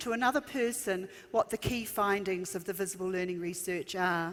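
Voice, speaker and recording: Speech comes in a New Zealand accent. It moves at a moderate pace. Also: woman. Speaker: education consultant. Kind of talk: conference keynote. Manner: frequent um fillers.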